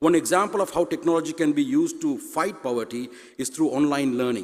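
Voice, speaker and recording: A man talks at a very fast pace in a Tamil accent. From Sri Lanka. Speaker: university president. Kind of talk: conference speech. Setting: stage with audience.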